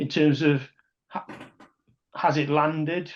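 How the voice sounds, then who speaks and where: This man talks with a South Welsh accent. His pitch sits fairly high, and his pace is moderate. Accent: Neath Welsh. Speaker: rugby podcast co-host and supporters club representative. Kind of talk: casual podcast discussion. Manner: halting, many false starts and repetitions.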